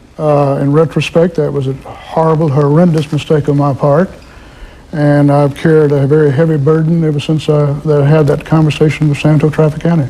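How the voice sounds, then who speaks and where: A man's fairly high-pitched voice at a fairly quick pace, monotone and flat in intonation, with very even loudness and noticeable background noise. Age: 60s. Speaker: former mob lawyer, guest. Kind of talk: live TV call-in interview. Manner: hesitant, many uhs.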